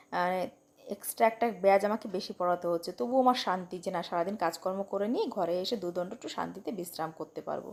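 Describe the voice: A woman talks fast with few pauses, her pitch fairly low and her tone slightly mellow. Vocal fry runs through her speech. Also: ordinary pitch variation.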